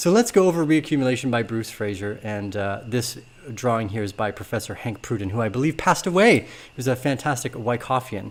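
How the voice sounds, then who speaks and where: A man at medium pitch, lively intonation and a fairly quick pace, on a very clean recording with a silent background. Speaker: crypto market analyst. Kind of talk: market analysis video. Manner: fast.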